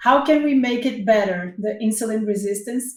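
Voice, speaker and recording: A woman's fairly high, somewhat breathy voice in a Portuguese accent, with fairly even intonation. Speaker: doctor and podcast host. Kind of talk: interview.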